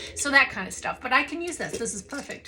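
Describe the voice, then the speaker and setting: A woman speaks in an animated tone with lively intonation over noticeable background noise. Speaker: artist and art book reviewer. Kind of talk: casual video review of art books.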